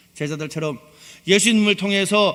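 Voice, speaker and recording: A man speaks with a Gyeongsang accent. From Gyeongsang region, South Korea. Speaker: pastor. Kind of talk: sermon.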